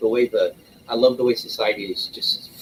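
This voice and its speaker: Speaking at a fairly quick pace, a man talks with a Southern US accent. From US South, rural Arkansas. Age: 50s. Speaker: livestream host. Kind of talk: casual chat.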